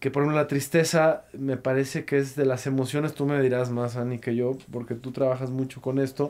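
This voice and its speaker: Fairly quick speech from a man, in a flat, monotone delivery. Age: 30s. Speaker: podcast host. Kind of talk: casual interview conversation. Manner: halting, many repetitions. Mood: calm, reflective. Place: studio. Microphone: studio mic.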